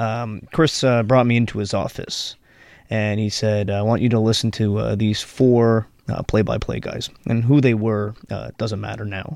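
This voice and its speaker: A man with an ordinary speaking voice talks at a fairly slow pace over a quiet background. His pitch is fairly low and his intonation fairly even. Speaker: podcast host. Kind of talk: podcast interview chat.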